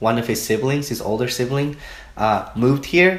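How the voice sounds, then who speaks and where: A man with a Spanish accent talks in a room with audible echo. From Mexico, Oaxaca. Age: 20s. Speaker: student interviewee. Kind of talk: interview.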